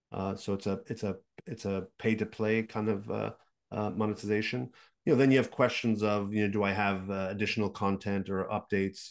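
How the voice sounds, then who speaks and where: A man with a Montreal accent talks at a fairly quick pace in a fairly low voice, his intonation fairly even against a quiet background. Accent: Montreal English (Canadian). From Quebec, Montreal. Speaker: game business consultant and investor; podcast guest. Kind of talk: interview. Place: home room. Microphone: video call.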